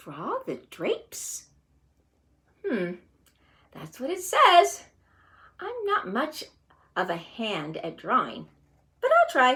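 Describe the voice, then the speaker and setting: A woman's very slow, high put-on character voice, with big swings in loudness and long, frequent pauses. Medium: read story. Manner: folksy, earnest.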